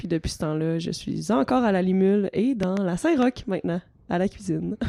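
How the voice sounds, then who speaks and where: A woman speaks with a dark, mellow tone and ordinary pitch variation. The sound is dry and close, with no echo. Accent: Quebec. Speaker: improviser, co-host. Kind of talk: casual chat.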